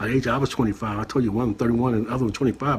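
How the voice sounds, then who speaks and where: Here is a man with an American accent. His intonation is lively. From San Francisco Bay Area (Richmond, California). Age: 50s. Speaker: chef and reaction channel host. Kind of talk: casual reaction commentary, personal testimony. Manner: loud; conversational, filler-heavy.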